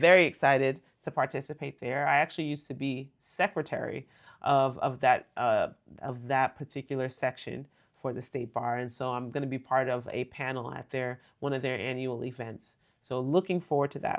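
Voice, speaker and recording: Against a quiet background, a woman talks at a very deep, low pitch. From US, Nigerian American family. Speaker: lawyer and livestream host. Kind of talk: live stream chat with viewers. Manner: fast talker; animated.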